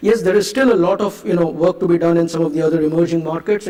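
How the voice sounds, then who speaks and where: Over noticeable background noise, a man talks very fast in a high pitch with fairly even intonation. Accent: Indian. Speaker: conference speaker, marketing executive. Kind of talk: conference keynote talk. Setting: stage with audience. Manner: hesitant, many fillers.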